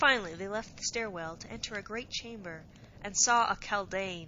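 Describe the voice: This is plain reading aloud. The pitch varies in an ordinary way.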